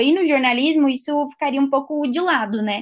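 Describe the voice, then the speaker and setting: With a high pitch and ordinary pitch variation, a woman speaks at a fairly quick pace in a very clean recording with a silent background. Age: 20s. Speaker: designer. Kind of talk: interview.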